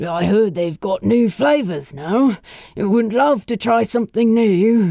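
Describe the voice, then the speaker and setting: A put-on character voice, fairly high in pitch and fairly slow in pace. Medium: read story. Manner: warm, easygoing, knowingly positive.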